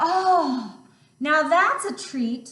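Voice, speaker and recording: Putting on a character voice, a woman pitches it high. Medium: read story.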